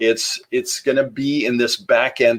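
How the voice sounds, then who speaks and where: A man with a slight Norwegian accent. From Norway. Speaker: marketing podcaster. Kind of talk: solo podcast talk. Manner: casual with many fillers.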